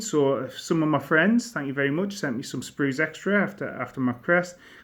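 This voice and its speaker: Against a quiet background, a man with a northeast English accent talks at a moderate pace with lively intonation. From northern England, near Durham. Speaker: miniature wargaming hobbyist. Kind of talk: casual show-and-tell video. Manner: casual, slightly halting.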